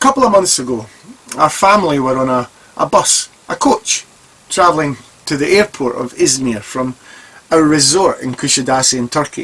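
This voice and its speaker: Someone with a Scottish accent speaks at a moderate pace with long, frequent pauses over noticeable background noise. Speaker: vlogger. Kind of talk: personal commentary.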